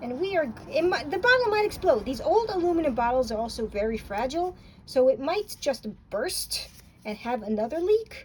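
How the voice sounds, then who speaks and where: This woman talks at a fairly quick pace with an American accent. Her tone is animated, and her pitch swings very widely. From New York. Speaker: paint reviewer. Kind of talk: casual tutorial demonstration.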